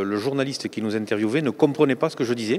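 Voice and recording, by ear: A man talks at a very fast pace, his pitch medium and its variation ordinary.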